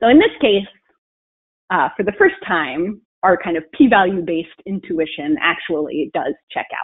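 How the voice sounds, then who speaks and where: Against a quiet background, a woman with an ordinary speaking voice and a medium pitch talks at a fairly slow pace with lively intonation. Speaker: statistician presenting research. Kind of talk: webinar presentation. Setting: video call. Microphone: video call.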